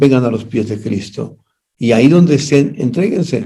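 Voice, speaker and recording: A man's medium-pitched voice with a dark, mellow tone and lively intonation, in audible room echo. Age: 80s+. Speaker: pastor and party official. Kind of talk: interview.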